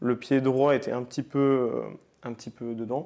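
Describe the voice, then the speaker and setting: There's a dark, mellow tone to this man's voice, with monotone, flat intonation. The background is quiet. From France, Nantes. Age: 20s. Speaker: paralympic athlete. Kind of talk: podcast interview. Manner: hesitant, many fillers.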